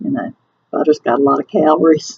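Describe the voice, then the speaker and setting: A woman speaks with a Southern US accent. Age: 60s. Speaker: weight loss surgery vlogger. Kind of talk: casual talk to camera.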